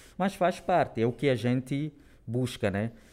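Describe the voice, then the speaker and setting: A man is speaking. His pace is moderate. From Angola, Luanda. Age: 20s. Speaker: corporate trainee. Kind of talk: interview. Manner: halting.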